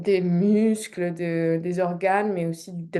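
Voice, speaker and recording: Very slow speech delivered in a dark, mellow tone. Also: woman. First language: not French (native language plus English and French) (speaking French). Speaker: movement artist presenting research. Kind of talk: recorded talk. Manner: halting, many fillers.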